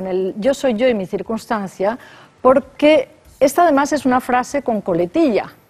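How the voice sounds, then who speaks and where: Lively intonation from a high-pitched woman at a fairly slow pace. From Spain. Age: 60s. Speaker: philosophy professor. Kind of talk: radio interview. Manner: hesitant, thinking aloud.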